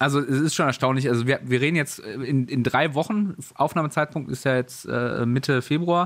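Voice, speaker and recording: A man with an unremarkable speaking voice and a fairly high pitch talks at a moderate pace with ordinary pitch variation, very even loudness and hardly any pauses. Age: 30s. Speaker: gaming news podcast host. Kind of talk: casual chat. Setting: home office, remote call.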